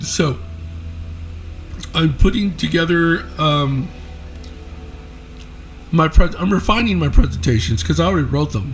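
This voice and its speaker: Music plays in the background as a man speaks at a moderate pace, with long, frequent pauses. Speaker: app developer and paranormal presenter. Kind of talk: casual talk to camera.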